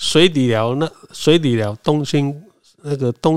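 An unremarkable speaking voice with lively intonation. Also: man. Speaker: community association chairman. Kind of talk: casual interview.

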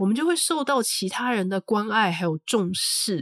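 The recording is very clean with a silent background and a dry, close sound with no echo. A woman speaks at a moderate pace in a fairly high voice with very wide pitch swings. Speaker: podcast host. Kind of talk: solo book review monologue.

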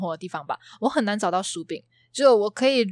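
Her pitch fairly high and her intonation lively, a woman is heard dry and close with no echo on a very clean recording with a silent background. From Malaysia. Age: 20s. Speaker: guest, Malaysian student in Taiwan. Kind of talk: casual chat.

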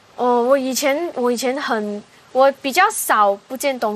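A woman talks at a fairly slow pace with a high pitch and ordinary pitch variation. Noticeable background noise runs underneath. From Malaysia. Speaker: singer. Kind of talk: casual chat.

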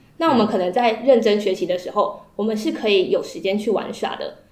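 A woman with a fairly high pitch speaks at a moderate pace. There is noticeable background noise and audible room echo. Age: 20s. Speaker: podcast co-host. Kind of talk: casual book discussion.

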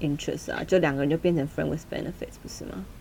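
A woman talks at a very fast pace. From Taiwan. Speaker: podcast co-host. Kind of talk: casual chat. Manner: animated.

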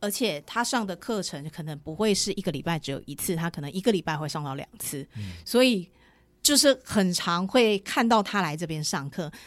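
The voice makes very wide pitch swings and big swings in loudness. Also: woman, fairly low pitch for a woman, moderate pace, very clean recording, silent background. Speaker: running cafe founder, entrepreneur. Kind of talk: casual interview chat.

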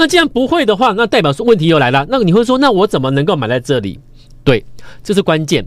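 Here a man speaks at a very fast pace. His high pitch moves in very wide swings. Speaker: stock market radio host and investment advisor. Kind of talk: radio stock-market commentary. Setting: radio studio, simultaneously video-recorded. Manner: animated.

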